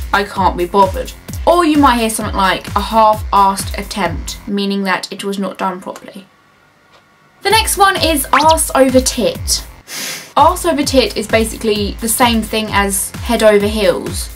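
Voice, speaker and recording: A woman in a British accent at a moderate pace over music in the background. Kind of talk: casual talk to camera. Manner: upbeat, jokey.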